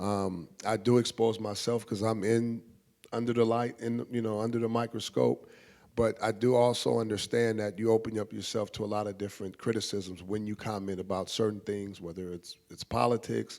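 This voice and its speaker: An ordinary speaking voice keeps a moderate pace with fairly even intonation. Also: man, fairly low pitch for a man. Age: 40s. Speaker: panelist on sports and culture. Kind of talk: panel discussion.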